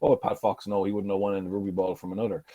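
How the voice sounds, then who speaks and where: Very fast and fairly low in pitch, a man talks in a strong southeastern Irish accent. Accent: strong Carlow Irish. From Ireland, County Carlow. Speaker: former rugby player and coach. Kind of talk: keynote speech. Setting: conference stage. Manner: conversational, anecdotal.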